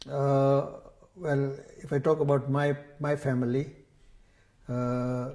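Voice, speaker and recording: A man's medium-pitched, somewhat breathy voice, dark and mellow in tone, monotone and flat in intonation, with audible room echo. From Kenya. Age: 70s. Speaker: religious scholar and teacher. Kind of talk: oral history interview. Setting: temple community centre.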